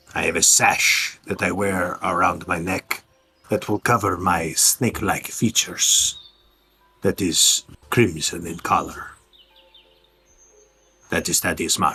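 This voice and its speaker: A man puts on a character voice at a fairly low pitch. He leaves long, frequent pauses. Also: fairly slow pace. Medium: actual play.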